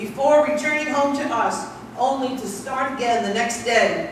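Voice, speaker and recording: In an American accent, the speaker shows ordinary pitch variation amid light background noise and strong room echo. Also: woman. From New York City. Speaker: speaker at a history talk. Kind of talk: public lecture. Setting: room with live audience. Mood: tender tribute to father. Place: hall. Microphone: camera far.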